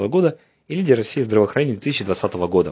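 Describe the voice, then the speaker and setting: A man's plain, everyday voice at medium pitch, lively in intonation and fairly quick in pace. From Russia, Saint Petersburg. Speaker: head physician. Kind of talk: prepared testimonial address.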